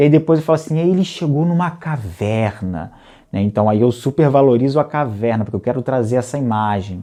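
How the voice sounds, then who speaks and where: Against a quiet background, a man of medium pitch speaks with a dark, mellow tone. His intonation is lively and his pace fairly quick. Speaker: storytelling teacher. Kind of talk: workshop tutorial. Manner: halting.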